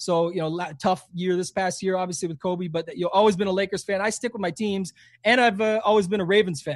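With a slight Canadian accent, a man speaks at a very fast pace in a high pitch. The background is quiet. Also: fairly even intonation. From Canada. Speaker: fantasy sports player and content creator. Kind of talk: casual interview chat.

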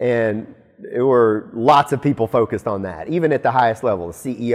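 With an American accent and an unremarkable speaking voice, a man talks at a fairly quick pace, his medium pitch showing ordinary variation. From Alabama, US South. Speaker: company executive. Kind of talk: interview.

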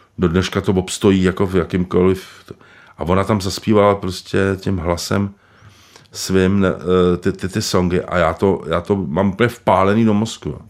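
Monotone and flat, a man speaks at a very deep, low pitch. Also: moderate pace. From Prague, Czech Republic. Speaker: screenwriter. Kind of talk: interview. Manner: halting.

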